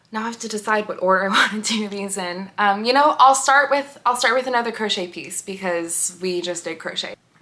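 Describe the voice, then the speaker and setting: A woman with a plain, everyday voice, fairly high in pitch, talks at a fairly quick pace with hardly any pauses, ordinary pitch variation and big swings in loudness. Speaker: knitting and crochet vlogger. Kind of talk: casual vlog chat. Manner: casual with many fillers.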